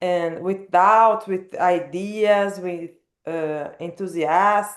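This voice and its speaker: A woman talks at a very slow pace. She has a non-native accent. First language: not English. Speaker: book club participant. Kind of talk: casual group discussion. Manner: halting, repeats words.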